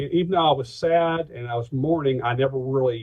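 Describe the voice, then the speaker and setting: An unremarkable speaking voice from a man with an American accent, fairly high pitch, ordinary pitch variation and a fairly quick pace. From Atlanta, Georgia, USA. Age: 50s. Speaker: pastor, insurance agent and stand-up comedian. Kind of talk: interview answer.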